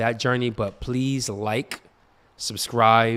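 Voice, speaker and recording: The recording is very clean with a silent background, carrying a man's medium-pitched voice with fairly even intonation. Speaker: live stream host. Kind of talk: testimony. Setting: live stream. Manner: loud.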